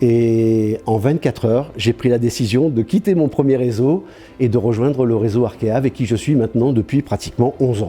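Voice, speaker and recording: Music plays in the background as a man talks at a moderate pace and medium pitch. His loudness stays very even, with ordinary pitch variation. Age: 60s. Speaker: franchise store owner. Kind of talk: interview testimony. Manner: hesitant, many fillers.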